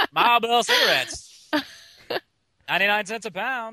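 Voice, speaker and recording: Using a put-on character voice, a man talks at a fairly slow pace in an extremely high pitch with fairly even intonation. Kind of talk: old-time announcer delivery. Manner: hawking a product.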